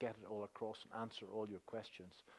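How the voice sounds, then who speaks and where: This is a man talking. He has a Northern Irish accent. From Northern Ireland. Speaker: stock market educator. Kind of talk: seminar presentation. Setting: stage with audience. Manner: hesitant with many fillers.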